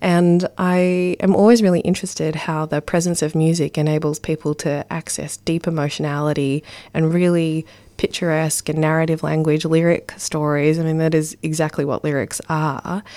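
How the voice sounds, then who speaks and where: A woman with an Australian accent speaks at a moderate pace in a very deep, low voice with a dark, mellow tone and monotone, flat intonation, on a very clean recording with a silent background. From Ballarat, Victoria, Australia. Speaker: poet and spoken word performer. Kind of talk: interview.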